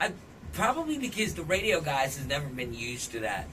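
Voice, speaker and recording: Over noticeable background noise, a man talks fairly quickly in a fairly high voice with very wide pitch swings. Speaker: radio DJ, club DJ, event host. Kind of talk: casual interview conversation about music.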